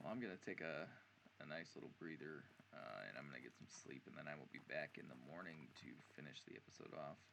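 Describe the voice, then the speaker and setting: A man's very deep, low voice with vocal fry, a bright, sharp tone, lively intonation and a very fast pace. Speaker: gaming YouTuber. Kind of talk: gameplay commentary. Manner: casual, halting with many fillers.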